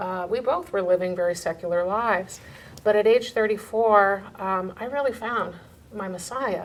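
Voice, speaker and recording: Using an unremarkable speaking voice, the woman keeps a moderate pace and a medium pitch while her pitch varies in an ordinary way. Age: 60s. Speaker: medical doctor. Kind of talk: personal testimony.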